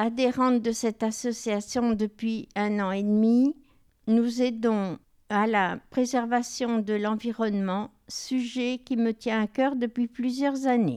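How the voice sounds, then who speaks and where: Very slowly, a woman with a fairly high pitch speaks in a very clean recording with a silent background. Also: fairly even intonation. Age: 70s. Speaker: retiree, volunteer. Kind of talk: reading aloud.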